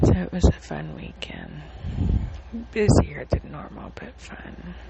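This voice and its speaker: Whispering very slowly, a woman shifts widely in loudness against noticeable background noise. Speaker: podcaster sharing personal updates. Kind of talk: casual personal diary talk. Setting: recording on phone in dark living room at night. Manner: halting, many fillers. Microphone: phone.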